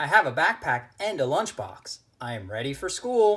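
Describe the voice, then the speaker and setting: A put-on character voice with very wide pitch swings, at a moderate pace. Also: man. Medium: read story. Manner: earnest, eager.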